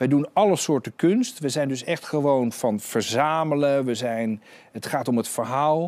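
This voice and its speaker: Pitch moves in an ordinary way. The speech goes at a fairly slow pace. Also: man, fairly high pitch for a man. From Netherlands. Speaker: art dealer and auctioneer; guest. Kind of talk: interview. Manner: halting. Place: studio. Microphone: lapel.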